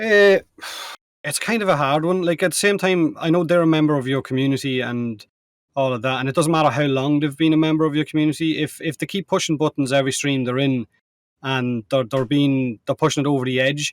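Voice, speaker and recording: In a dry, close recording with no echo, a man with an Irish accent speaks at a fairly quick pace in a fairly high voice with ordinary pitch variation. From Ireland. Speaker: co-host, gaming content creator. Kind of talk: casual chat.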